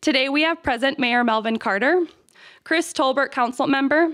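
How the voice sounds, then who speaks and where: Fairly quick speech with ordinary pitch variation over a quiet background. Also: woman. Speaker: campus administrator hosting ceremony. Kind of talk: ceremony speech. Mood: warm, grateful. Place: hall. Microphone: podium.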